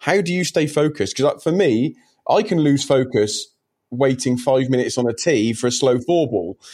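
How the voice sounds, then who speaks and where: A man with a normal speaking voice, medium pitch, lively intonation and a fairly quick pace, on a very clean recording with a silent background. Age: 40s. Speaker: podcast co-host interviewer. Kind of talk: interview questions, casual chat.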